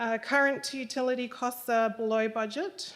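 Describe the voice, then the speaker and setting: In an Australian accent, a woman speaks at a fairly high pitch. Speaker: council finance manager. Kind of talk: report presentation. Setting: council chamber meeting. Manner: soft-spoken. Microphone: too far from the microphone.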